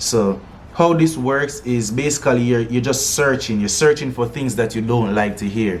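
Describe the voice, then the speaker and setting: A man speaks at a moderate pace, medium in pitch with ordinary variation. Noticeable background noise and audible room echo are present. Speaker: music producer and singer. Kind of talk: tutorial. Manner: casual, halting with fillers.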